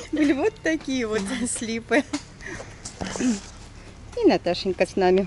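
Against noticeable background noise in a dry, echo-free sound, a woman with a fairly high pitch speaks at a very slow pace with long, frequent pauses and lively intonation. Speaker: travel vlogger. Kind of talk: casual chat. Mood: cheerful, joking. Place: street. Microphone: phone near.

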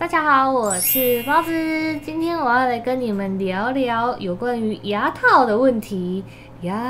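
A woman's high-pitched voice with lively intonation, fairly slow in pace, over light background noise. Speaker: vlogger. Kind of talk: casual vlog chat, Q&A. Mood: cheerful, chatty.

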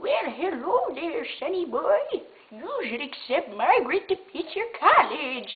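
Doing a put-on character voice, a woman speaks at an extremely high pitch with very wide pitch swings. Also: fairly slow pace. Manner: comedic, playful. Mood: playful, mock-dramatic.

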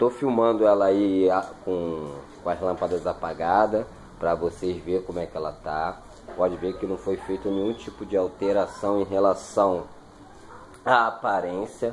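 Light background noise sits behind this man's voice. He speaks fairly slowly at a fairly low pitch. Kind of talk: casual vlog chat. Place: garage. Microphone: phone near.

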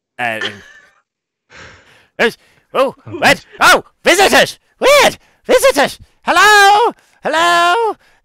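An extremely high-pitched, put-on character voice speaks at a very slow pace. Long pauses come frequently. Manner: excited, surprised, welcoming.

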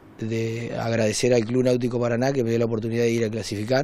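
In a dark, mellow tone, a man at medium pitch talks with flat, monotone intonation, and the sound is dry with no echo. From Argentina, Entre Ríos (Diamante); Entre Ríos, Argentina. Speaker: amateur canoeist. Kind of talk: interview. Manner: halting. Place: home room. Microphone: handheld.

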